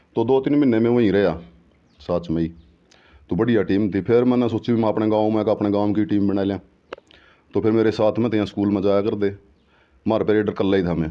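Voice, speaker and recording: A man talks at a moderate pace and a fairly low pitch. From Haryana, Karnal district. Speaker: former kabaddi player. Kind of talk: interview.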